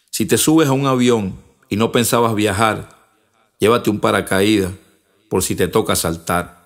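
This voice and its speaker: A man speaks at a fairly slow pace with a fairly low pitch and ordinary pitch variation. Long pauses come often, on a very clean recording with a silent background. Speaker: rapper and spoken word poet. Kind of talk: spoken word poetry, rhymed verse. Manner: rhythmic, punchy, declamatory delivery.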